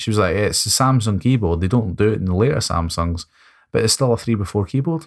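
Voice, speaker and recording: In a very clean recording with a silent background, a man talks at a fairly quick pace. His pitch is fairly low and his intonation lively. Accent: Scottish. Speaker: tech podcast co-host. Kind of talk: casual chat.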